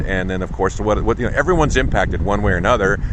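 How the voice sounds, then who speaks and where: Noticeable background noise and audible room echo come through as a man talks. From Alaska. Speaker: YouTuber. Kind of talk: casual vlog update. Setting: outdoors at a dog park. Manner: halting, many fillers.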